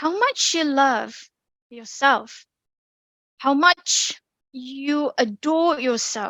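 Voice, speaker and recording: In a British accent, a woman speaks at a very slow pace with a raised, projected voice and a bright, sharp tone. Her intonation is lively, and the sound is dry and close with no echo. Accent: British accent, learned. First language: Indonesian. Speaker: public speaking speaker, bank employee. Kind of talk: online talk presentation. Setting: online meeting.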